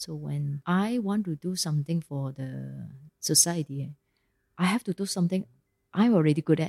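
In a Malaysian accent, a woman with a very deep, low pitch and a dark, mellow tone speaks at a moderate pace with ordinary pitch variation, on a very clean recording with a silent background. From Ipoh, Malaysia. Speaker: company CEO. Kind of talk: casual interview. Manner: casual, uses Malaysian 'lah'.

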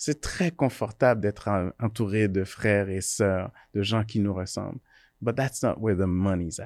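A man with an ordinary speaking voice talks fairly slowly, his pitch fairly low with ordinary variation. The background is quiet. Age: 40s. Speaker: electrical engineer and entrepreneur. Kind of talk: casual interview discussion.

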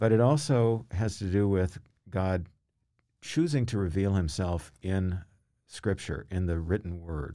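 Speaking fairly slowly with an American accent, a man has a very deep, low pitch and a dark, mellow tone. His pitch varies an ordinary amount, and the recording is very clean with a silent background. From US South, Louisville, Kentucky. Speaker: retired English professor. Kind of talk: interview conversation.

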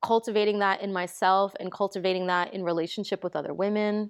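Dry and close with no echo, a woman's medium-pitched voice with an American accent moves at a moderate pace in a monotone, flat intonation. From New York, the Bronx. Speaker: DJ. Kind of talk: casual chat.

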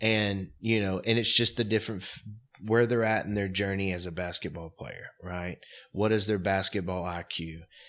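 A man's fairly low voice at a moderate pace, with fairly even intonation, on a very clean recording with a silent background. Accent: American. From US South, Mobile, Alabama. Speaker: real estate investor. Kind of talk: interview.

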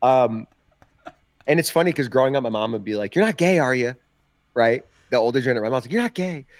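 Despite long, frequent pauses, this medium-pitched man talks at a very fast pace with ordinary pitch variation. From New Jersey, Ocean County (Jersey Shore). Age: 30s.

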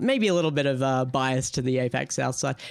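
A man with an unremarkable speaking voice and ordinary pitch variation, on a very clean recording with a silent background. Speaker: esports owner and caster. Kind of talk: casual interview.

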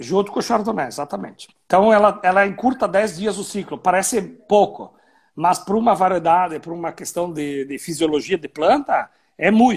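The recording is very clean with a silent background as a high-pitched man speaks at a moderate pace with ordinary pitch variation. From Rio Grande do Sul, Brazil (Serra Gaúcha). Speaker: winemaker. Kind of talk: casual chat.

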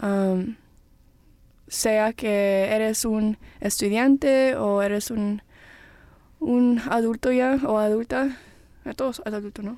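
Speaking at a fairly slow pace, a woman with a fairly high pitch uses ordinary pitch variation and takes long, frequent pauses. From Peru, raised in US. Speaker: podcast host. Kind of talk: casual chat.

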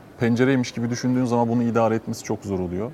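A man with a normal speaking voice, a medium pitch and fairly even intonation. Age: 40s. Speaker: entrepreneur. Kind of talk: panel discussion.

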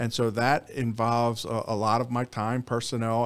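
A man speaks with a Philadelphia accent at a medium pitch. The recording is very clean, with a silent background. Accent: Philadelphia-area American. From Bucks County, Pennsylvania (Philadelphia suburbs). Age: 50s. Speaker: district attorney. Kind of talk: interview.

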